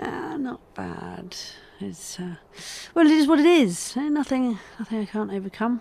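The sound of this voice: Putting on a character voice, a woman speaks fairly slowly at a fairly high pitch with lively intonation. Her tone is dark and mellow, with vocal fry.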